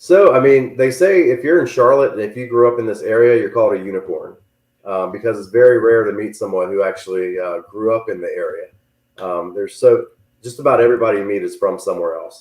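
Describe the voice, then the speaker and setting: Talking at a very fast pace with a Southern US accent, a man makes big swings in loudness. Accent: southern twang. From Virginia, Richmond. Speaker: real estate agent. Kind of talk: casual chat. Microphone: too quiet.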